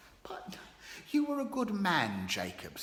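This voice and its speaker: A shaky put-on character voice at middle pitch and a fairly slow pace. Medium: read story. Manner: trembling, gibbering.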